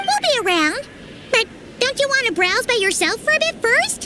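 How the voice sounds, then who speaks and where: In a put-on character voice with an extremely high, squeaky pitch, the speaker goes at a moderate pace over clear background noise. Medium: video game. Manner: lively, chatty.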